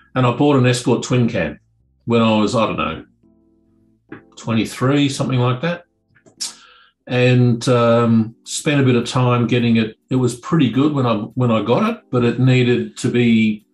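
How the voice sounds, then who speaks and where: A man speaks with fairly even intonation and long, frequent pauses. Faint music plays in the background. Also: moderate pace. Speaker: remote interview guest. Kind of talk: interview answer. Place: office. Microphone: webcam.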